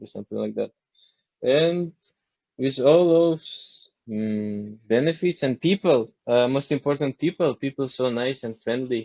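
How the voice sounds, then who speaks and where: A man with a non-native accent talks at a fairly slow pace, his pitch varying in an ordinary way. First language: not English. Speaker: model. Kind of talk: casual chat. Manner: halting.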